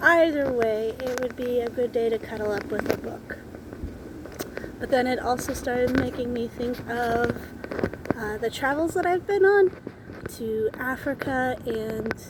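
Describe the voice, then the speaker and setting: A woman with a Minnesotan accent and a high pitch talks at a fairly slow pace with ordinary pitch variation and long, frequent pauses, amid noticeable background noise. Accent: Minnesota. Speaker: book vlogger. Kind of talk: casual faith reflection. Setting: outdoors under a tree. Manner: halting, self-correcting.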